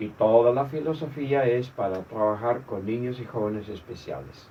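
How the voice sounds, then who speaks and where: Somewhat breathy and dark, mellow in tone, a man's medium-pitched voice moves at a fairly slow pace with ordinary pitch variation. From Argentina, Misiones. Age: 70s. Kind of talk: interview.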